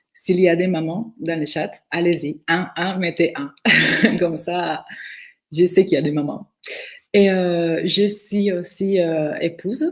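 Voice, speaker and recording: A woman speaks very slowly in a fairly low voice with ordinary pitch variation, leaving long, frequent pauses. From Venezuela. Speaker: direct sales distributor. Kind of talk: testimony.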